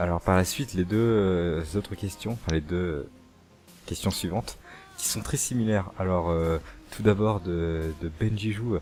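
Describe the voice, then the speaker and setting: With a very deep, low pitch and ordinary pitch variation, a man speaks at a fairly slow pace. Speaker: youtuber. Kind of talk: casual Q&A chat.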